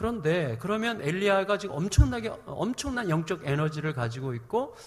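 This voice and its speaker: A man speaks with lively intonation. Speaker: preacher. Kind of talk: sermon. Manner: speeds up when heated.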